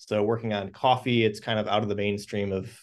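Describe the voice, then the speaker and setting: A man at a fairly quick pace and fairly low pitch, quiet background. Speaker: professor. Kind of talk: speaker introduction. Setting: classroom. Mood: warm, appreciative. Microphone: video call.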